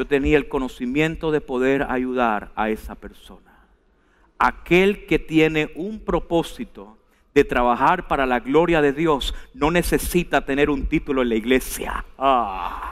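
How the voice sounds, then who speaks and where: Against a quiet background, a man with a fairly high pitch speaks in an animated tone at a fairly slow pace, using ordinary pitch variation. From Venezuela. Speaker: preacher. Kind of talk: sermon delivered live to a congregation, with scripture reading and calls to respond. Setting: church. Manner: animated, emphatic and exhortative, urging the congregation to repeat and stand; conversational, asides and humor, direct address. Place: church. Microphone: headset.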